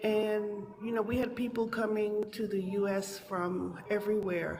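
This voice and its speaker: In a room with audible echo and noticeable background noise, a woman speaks fairly slowly at a medium pitch with monotone, flat intonation. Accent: American. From New York City (Manhattan and the Bronx). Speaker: caller, teacher abroad. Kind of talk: call-in discussion.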